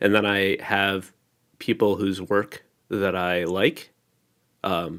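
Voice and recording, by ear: A man speaks slowly and low in pitch, with little pitch movement and a nasal quality. His tone is clear, smooth and fairly bright, on a very clean recording with a silent background.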